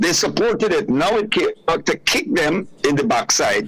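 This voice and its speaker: A man talks fairly slowly while noticeable background noise is heard behind him. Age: 70s. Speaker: political commentator. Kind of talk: radio interview. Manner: animated.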